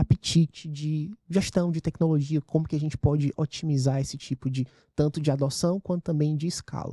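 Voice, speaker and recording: Dry and close with no echo, a man's somewhat breathy voice has a fairly high pitch, ordinary pitch variation and a dark, mellow tone. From Ceará, northeastern Brazil. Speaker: venture capital investor, fund partner. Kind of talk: podcast interview.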